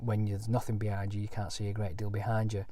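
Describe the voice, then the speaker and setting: A man speaks in a Lancashire accent with a dark, mellow tone. He sounds somewhat breathy, and the room has an audible echo. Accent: Bolton. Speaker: caravanning vlogger. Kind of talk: product review walkthrough. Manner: halting, many fillers.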